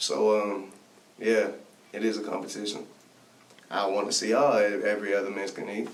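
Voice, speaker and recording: A man with an American accent speaks at a fairly quick pace with long, frequent pauses, a fairly low pitch and monotone, flat intonation. Noticeable background noise and audible room echo are present. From Texas, Bay City. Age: 20s. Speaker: rapper. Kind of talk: casual interview chat.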